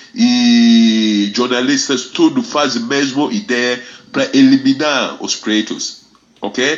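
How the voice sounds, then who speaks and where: Noticeable background noise sits behind a man's medium-pitched voice. His intonation is fairly even and his pace very slow. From Ghana. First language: Fante / English (speaking Portuguese). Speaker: reggae ambassador and music teacher. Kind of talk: radio interview. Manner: halting.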